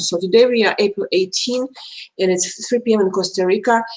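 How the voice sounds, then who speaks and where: A woman talks at a fairly quick pace with a Russian accent. Her pitch variation is ordinary. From Belarus. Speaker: astrologer. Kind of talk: live stream talk. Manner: fast; halting.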